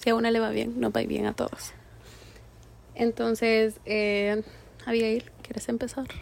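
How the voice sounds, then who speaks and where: The woman takes long pauses, and she takes them frequently. Her delivery is fairly slow. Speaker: podcast co-host. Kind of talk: casual chat.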